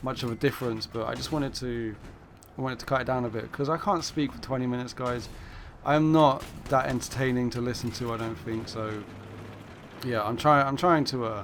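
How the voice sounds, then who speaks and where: In an English accent, a man at medium pitch speaks at a fairly quick pace with ordinary pitch variation. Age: 20s. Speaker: gaming commentator. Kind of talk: gameplay commentary. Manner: hesitant, many fillers.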